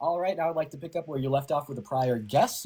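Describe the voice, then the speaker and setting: This man's voice sits fairly high and sounds somewhat breathy. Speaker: online political debater. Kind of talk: heated debate. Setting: livestream call. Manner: fast.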